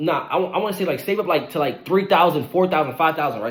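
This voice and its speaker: A man speaks at a high pitch. His pace is very fast. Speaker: online money motivation creator. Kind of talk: motivational monologue.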